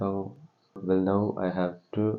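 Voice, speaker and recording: With a non-native accent, a man talks in a very deep, low pitch and a monotone, flat intonation. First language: not English. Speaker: vlogger. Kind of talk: casual vlog. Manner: halting.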